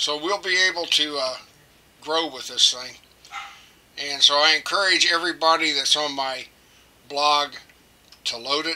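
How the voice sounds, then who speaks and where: A man with a fairly high pitch speaks in a fairly even intonation, his loudness swinging widely, with long, frequent pauses and noticeable background noise. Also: moderate pace. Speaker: electronics hobbyist teacher. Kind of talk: tutorial. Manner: halting, many fillers; casual, friendly.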